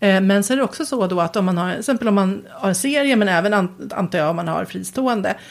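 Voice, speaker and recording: A woman at medium pitch speaks at a very fast pace with hardly any pauses. Her intonation is lively. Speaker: writer and podcast co-host. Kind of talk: casual chat. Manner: halting.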